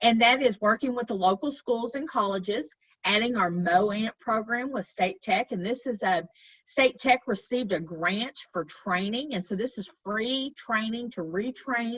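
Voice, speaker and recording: A woman's moderate-paced speech in a fairly high pitch, ordinary pitch variation and a slight Arkansas accent. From Arkansas, Fort Smith. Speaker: chamber of commerce director. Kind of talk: presentation. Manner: halting, many fillers.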